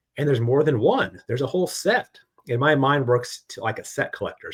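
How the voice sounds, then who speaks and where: The man's intonation is lively. He talks at a very fast pace. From Arizona. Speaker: YouTube card collecting host. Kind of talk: casual chat interview.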